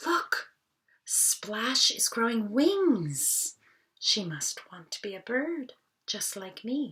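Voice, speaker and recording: Someone does a put-on character voice at a very slow pace. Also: woman, high pitch for a woman. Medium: read story. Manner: chirpy.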